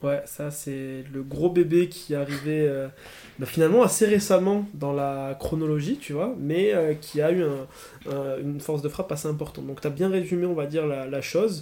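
A man's fairly high voice moves at a moderate pace, with ordinary pitch variation. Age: 20s. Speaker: student entrepreneur. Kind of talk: interview. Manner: hesitant, many fillers.

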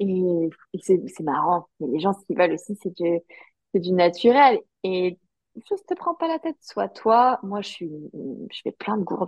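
A woman's medium-pitched voice, fairly slow, with lively intonation and long, frequent pauses. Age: 20s. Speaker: yoga teacher. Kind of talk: casual interview.

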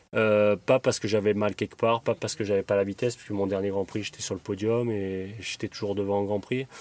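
A man talks at a fairly quick pace in a fairly low pitch with a monotone, flat intonation, the sound dry and close with no echo. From southern France, Draguignan, Var. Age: 30s. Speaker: retired motocross racer. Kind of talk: casual interview. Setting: in the back of a van. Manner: halting, many repetitions.

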